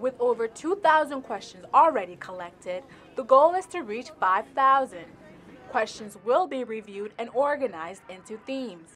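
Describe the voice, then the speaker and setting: A woman's high voice at a moderate pace, with very wide pitch swings, big swings in loudness and music in the background. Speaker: journalist, reporter and anchor. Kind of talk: TV news field report.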